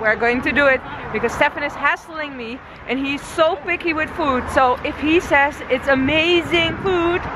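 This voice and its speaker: A woman's high-pitched voice with ordinary pitch variation, dry with no echo, over noticeable background noise. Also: moderate pace. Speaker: travel vlogger. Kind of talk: casual vlog chat. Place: waterside. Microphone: phone near.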